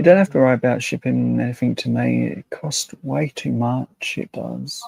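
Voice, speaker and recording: Moderate pace in a British accent. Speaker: content creator. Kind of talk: casual chat.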